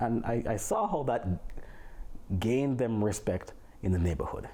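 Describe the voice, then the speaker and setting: In a strong Jamaican accent, a man speaks at a fairly low pitch with a dark, mellow, somewhat breathy tone and lively intonation. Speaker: physics teacher. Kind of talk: casual family interview. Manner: eloquent.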